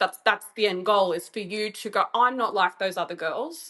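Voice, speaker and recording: A woman speaks at a moderate pace in a medium pitch, her tone animated, bright and sharp. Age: 30s. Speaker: writer and sex worker. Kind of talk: casual chat.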